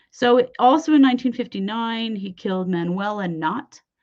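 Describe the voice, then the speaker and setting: In an Idaho accent, a woman with a fairly high pitch talks at a moderate pace with lively intonation. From US West, Idaho. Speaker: true crime podcast host. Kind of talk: casual true crime storytelling. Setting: late-evening live show. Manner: conversational, with filler words.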